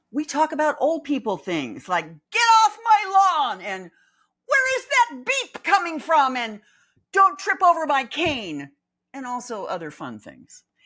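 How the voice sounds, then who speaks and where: A woman's raised, projected voice, high-pitched with a bright, sharp tone, very wide pitch swings and big swings in loudness, at a fairly slow pace. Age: old. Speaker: podcast host. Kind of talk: casual monologue podcast.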